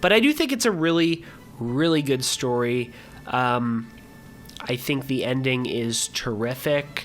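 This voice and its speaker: Over background music, the delivery proceeds fairly slowly. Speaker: gaming commentator. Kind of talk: casual talk to camera. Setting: home room, mic at distance.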